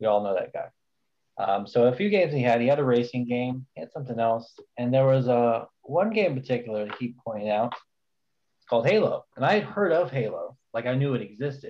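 A plain, everyday voice speaks with lively intonation and big swings in loudness. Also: man, medium pitch for a man. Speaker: community admin and podcast co-host. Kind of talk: casual chat.

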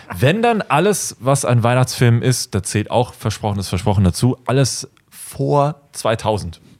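In a dry, close recording with no echo, a man with a normal speaking voice talks at a medium pitch and fairly slow pace, with lively intonation and very even loudness. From Germany. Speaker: YouTuber and filmmaker. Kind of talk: casual chat.

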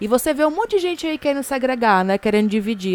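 This is a woman speaking. She has a Fortaleza accent. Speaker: podcast co-host. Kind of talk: casual chat.

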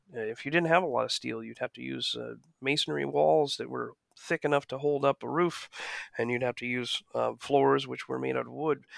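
A man with an American accent at a fairly quick pace, in a very clean recording with a silent background and a dry, close sound with no echo. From US (small town). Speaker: architect. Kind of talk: interview. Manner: halting.

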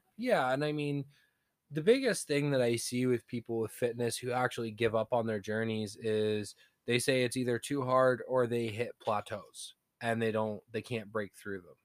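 A man with a plain, everyday voice speaks at a moderate pace and a medium pitch. The very clean recording has a silent background and a dry, close sound with no echo. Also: fairly even intonation. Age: 30s. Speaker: fitness podcast co-host. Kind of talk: casual chat.

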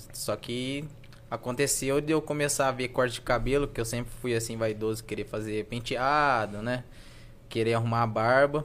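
Here a man with an ordinary speaking voice talks at a medium pitch. His pace is moderate and his pitch varies in an ordinary way. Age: 20s. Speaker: barber. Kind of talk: casual chat.

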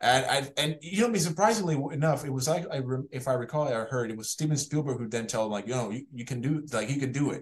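Somewhat breathy speech comes at a very fast pace with hardly any pauses. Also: man, fairly high pitch for a man, ordinary pitch variation. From Puerto Rico. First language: Spanish. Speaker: animated series creator. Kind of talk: casual interview chat.

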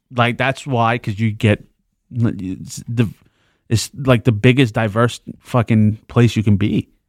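Speaking very slowly in a New York accent, a man at a medium pitch keeps his intonation fairly even, recorded very cleanly against a silent background with a dry, close sound and no echo. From New York, the Bronx. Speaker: podcast co-host. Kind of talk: casual chat.

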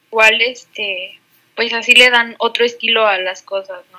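Intonation is fairly even throughout. A bright, sharp tone marks the voice. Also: woman. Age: 20s. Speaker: podcast co-host, architecture student. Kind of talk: casual chat. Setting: recording from home.

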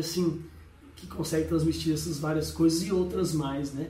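The man's voice sits fairly high, with fairly even intonation. Audible room echo and noticeable background noise fill the recording. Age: 40s. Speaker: music reviewer. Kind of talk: casual spoken review. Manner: halting, many filler words.

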